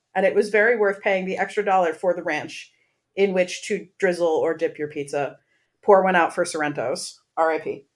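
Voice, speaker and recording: With a normal speaking voice and an American accent, a woman talks at a moderate pace with fairly even intonation on a very clean recording with a silent background. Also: medium pitch for a woman. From central Pennsylvania. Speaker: podcast co-host. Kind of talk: casual chat.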